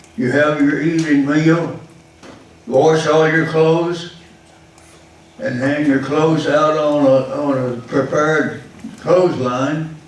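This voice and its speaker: Amid noticeable background noise, a man with a Texan accent and a fairly high voice speaks at a very slow pace, with fairly even intonation and long, frequent pauses. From Texas. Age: 80s+. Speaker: war veteran. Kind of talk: public talk about his life.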